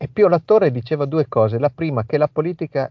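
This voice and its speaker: Using a normal speaking voice, a man speaks fairly quickly, his pitch varying in an ordinary way. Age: 50s. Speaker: national coordinator of an anti-mafia association. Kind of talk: interview.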